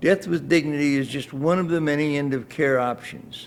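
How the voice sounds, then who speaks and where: A man with a fairly high pitch, in a Midwestern US accent. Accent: US Midwest. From Iowa, US Midwest. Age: 80s+. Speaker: retired state lawmaker with terminal illness. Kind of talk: prepared statement at news conference. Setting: news conference. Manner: halting with breath pauses.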